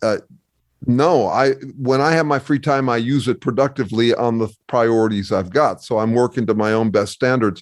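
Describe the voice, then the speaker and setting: The delivery moves at a moderate pace with ordinary pitch variation and very even loudness. It is an unremarkable speaking voice over a quiet background. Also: man, medium pitch for a man. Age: 60s. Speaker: academic researcher and author. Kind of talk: casual interview conversation.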